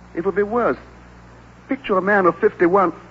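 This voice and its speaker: With noticeable noise behind him, a man speaks at a moderate pace. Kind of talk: 1930s radio drama, theatrical acting. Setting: live radio broadcast, old recording.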